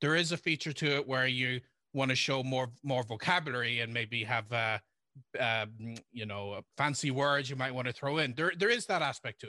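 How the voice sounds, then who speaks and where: Recorded with a dry, close sound and no echo, a man talks at a moderate pace in a bright, sharp tone. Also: very clean recording, silent background. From Ireland, County Cavan. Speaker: language learning author and blogger. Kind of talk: interview.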